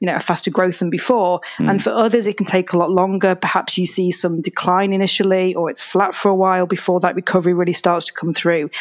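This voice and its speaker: Speaking fairly quickly, a woman uses a medium pitch and fairly even intonation. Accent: Yorkshire. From Yorkshire, England. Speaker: data analytics executive. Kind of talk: interview.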